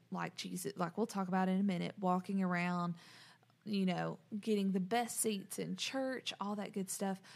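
A woman of medium pitch speaks at a moderate pace in a monotone, flat intonation. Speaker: podcast host. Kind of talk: casual chat.

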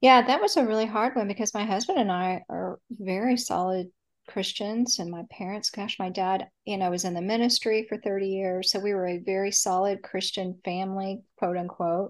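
Against a quiet background, a woman speaks with an American accent at a moderate pace and medium pitch, in a plain, everyday voice. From Texas, Dallas. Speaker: author. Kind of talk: interview.

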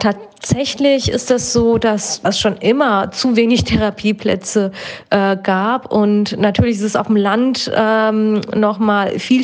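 A woman's fairly high voice at a very slow pace, with fairly even intonation and very even loudness. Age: 30s. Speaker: psychotherapist. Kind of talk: interview.

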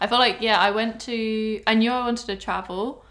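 The speaker, with a southern English accent, keeps a moderate pace and fairly even intonation. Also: woman. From England, Cornwall. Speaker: host's best friend. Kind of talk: casual chat.

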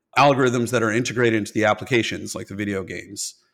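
On a very clean recording with a silent background, a man with an unremarkable speaking voice talks at a medium pitch with ordinary pitch variation. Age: 40s. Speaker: tech company executive. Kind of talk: interview.

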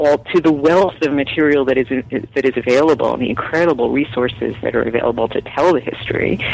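Over noticeable background noise, a woman with an American accent speaks at a very deep, low pitch with ordinary pitch variation. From New York. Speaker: author and journalist. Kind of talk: interview.

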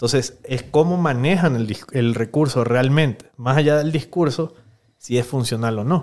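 A man with an unremarkable speaking voice talks at a fairly slow pace, his medium pitch showing ordinary variation. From Venezuela. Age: 30s. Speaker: politician. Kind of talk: interview.

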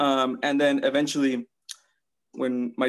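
Here is an ordinary speaking voice. It moves at a moderate pace. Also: man. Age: 20s. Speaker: social media influencer and coach. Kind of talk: casual chat.

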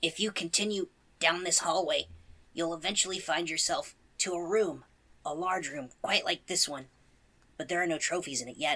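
A raspy put-on character voice at a middle pitch moves at a moderate pace, broken by long, frequent pauses. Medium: actual play. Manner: polite, earnest.

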